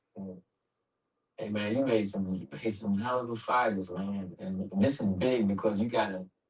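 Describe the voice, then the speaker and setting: A man with a normal speaking voice and fairly even intonation, at a moderate pace. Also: fairly low pitch for a man. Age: 60s. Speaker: interviewer. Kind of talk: interview.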